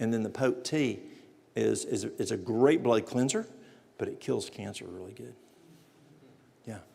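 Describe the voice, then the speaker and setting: In a room with audible echo, a man with a Southern US accent speaks with long, frequent pauses. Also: moderate pace, big swings in loudness. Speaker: natural remedies presenter. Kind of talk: lecture.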